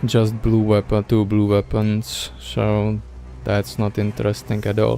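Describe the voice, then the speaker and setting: A man with a non-native accent and a fairly low voice speaks over music in the background. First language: not English. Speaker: gaming streamer. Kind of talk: gameplay commentary. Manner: casual, with hesitations.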